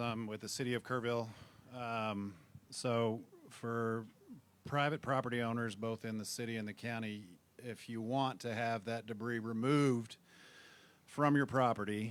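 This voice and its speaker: At a moderate pace, the speech stays monotone, with flat intonation. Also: man. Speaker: city government employee. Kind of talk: audience comment at public meeting. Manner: mumbling.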